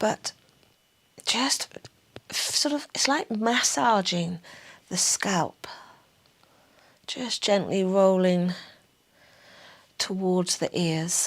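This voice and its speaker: A woman speaks very slowly in a Somerset accent, her pitch medium and her intonation lively. Long pauses come often. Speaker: pilates instructor. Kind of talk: guided exercise class. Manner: calm, gentle.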